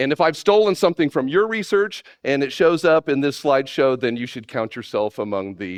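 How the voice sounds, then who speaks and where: Someone with a Texan accent speaks at a fairly quick pace with very wide pitch swings, in a dry, close sound with no echo and a quiet background. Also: man. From Texas. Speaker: animator and conference speaker. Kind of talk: conference talk. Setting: stage with audience. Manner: many filler words.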